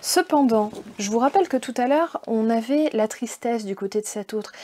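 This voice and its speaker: A woman speaks at a fairly high pitch with a dark, mellow tone. Her intonation is lively. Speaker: tarot card reader. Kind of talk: card reading guidance. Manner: casual, hesitant with fillers.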